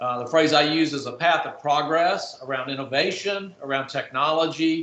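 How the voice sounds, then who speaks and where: A man is speaking with a fairly high pitch. Noticeable background noise is present. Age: 60s. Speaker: technology marketer, panelist. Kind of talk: panel discussion.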